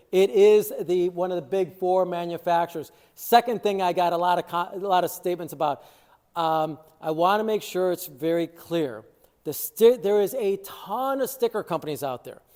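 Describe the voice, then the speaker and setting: A man with a Chicago accent speaks in a high-pitched voice with a dark, mellow tone, on a very clean recording with a silent background. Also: ordinary pitch variation, moderate pace. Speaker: water treatment dealer. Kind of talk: product review video. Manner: casual, filler-heavy.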